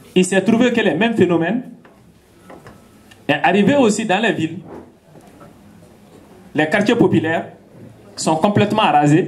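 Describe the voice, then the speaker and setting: With noticeable background noise behind him, a man speaks at a moderate pace in a high pitch, pitch varying in an ordinary way. He leaves long, frequent pauses. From Mali. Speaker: farmer and activist. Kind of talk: public talk.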